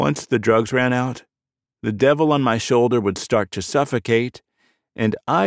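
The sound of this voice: Against a quiet background comes an unforced reading voice whose pitch varies in an ordinary way.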